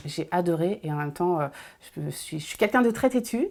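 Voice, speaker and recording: The voice has a dark, mellow tone with lively intonation. The recording is very clean, with a silent background. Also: woman. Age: 30s. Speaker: nail technician. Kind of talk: interview testimony. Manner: hesitant, many fillers.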